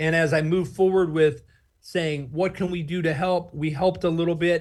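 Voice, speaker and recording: A man with a normal speaking voice and an American accent, fairly high-pitched, at a fairly quick pace over a quiet background. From Oklahoma, USA. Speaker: nonprofit founder and book publisher. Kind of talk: interview answer.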